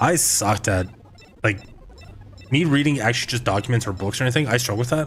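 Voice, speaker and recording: Noticeable background noise accompanies a man speaking at a fairly quick pace with a medium pitch. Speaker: video game streamer. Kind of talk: live gameplay stream, reading game text aloud. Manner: halting, stumbles over words when reading; casual.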